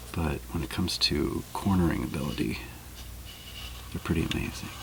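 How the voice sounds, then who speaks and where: Whispering and soft-spoken, a man talks at a moderate pace over noticeable background noise. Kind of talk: ASMR soft-spoken chit chat. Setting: close boom microphone, studio-like. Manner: soft-spoken, whispered.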